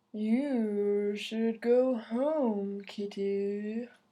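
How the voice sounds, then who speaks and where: A woman uses a put-on character voice. It is fairly high in pitch. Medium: read story. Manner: slow.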